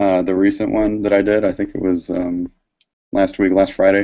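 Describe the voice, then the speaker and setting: In an American accent, a man talks at a moderate pace with a fairly low pitch and fairly even intonation over a quiet background. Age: 20s. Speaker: cartoonist and Marine veteran; guest. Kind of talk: live drawing tutorial. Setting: live video stream. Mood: relaxed, amused. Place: home room. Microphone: video call.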